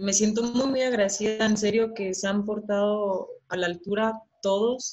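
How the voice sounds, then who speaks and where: A woman with a fairly high pitch talks at a fairly slow pace, somewhat breathy, her intonation monotone and flat. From Chihuahua, northern Mexico. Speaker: professional women's footballer. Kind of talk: casual interview.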